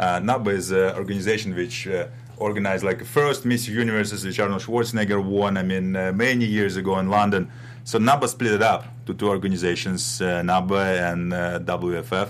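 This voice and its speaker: Music plays in the background as a man speaks with a Russian accent. His pitch is fairly low and his pace fairly quick. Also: fairly even intonation. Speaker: bodybuilder and action film actor. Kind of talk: interview. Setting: studio.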